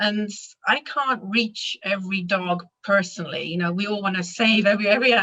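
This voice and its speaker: Speaking at a moderate pace with a slight British accent, a woman uses ordinary pitch variation. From Britain, raised abroad as RAF child. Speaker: animal massage instructor. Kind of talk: interview.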